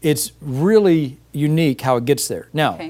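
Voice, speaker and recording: On a very clean recording with a silent background, a man with an unremarkable speaking voice and fairly high pitch talks at a fairly quick pace with ordinary pitch variation. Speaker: medical doctor. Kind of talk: interview answer.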